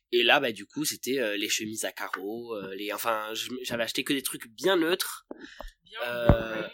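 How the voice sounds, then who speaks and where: With a plain, everyday voice, a man talks at a fairly slow pace and medium pitch, with ordinary pitch variation and big swings in loudness. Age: 20s. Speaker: podcast guest, friend of host. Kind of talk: casual chat.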